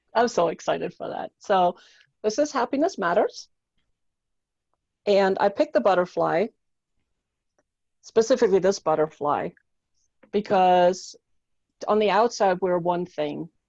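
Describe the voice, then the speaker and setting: A woman with a German accent speaks at a fairly slow pace with long, frequent pauses and lively intonation. Her pitch is medium, and the sound is dry and close with no echo. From Germany. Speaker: mindset coach and author. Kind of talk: interview.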